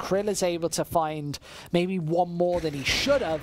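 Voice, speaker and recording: Noticeable background noise fills the clip. A woman's delivery is fairly slow. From England, West Midlands. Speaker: esports commentator. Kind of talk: live commentary.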